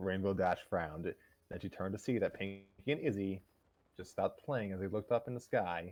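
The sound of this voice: The pitch shifts in an ordinary way. It belongs to an unforced reading voice.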